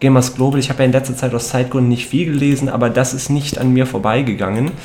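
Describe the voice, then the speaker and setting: A man talks in a normal speaking voice at medium pitch. His pace is fairly quick and his intonation fairly even. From Cologne, Germany. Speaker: radio host. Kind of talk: casual chat.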